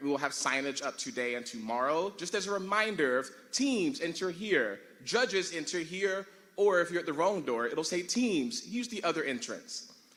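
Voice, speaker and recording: A man speaks loudly at a moderate pace. His pitch is high and swings very widely. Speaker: tournament director. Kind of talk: logistical announcements at ceremony. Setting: large room with audience.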